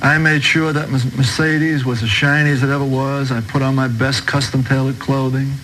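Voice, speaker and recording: A man with a New York accent talks in a fairly high pitch and a monotone, flat intonation. Audible room echo and noticeable background noise fill the recording. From New York, Brooklyn. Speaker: converted ex-mobster giving testimony. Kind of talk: testimony.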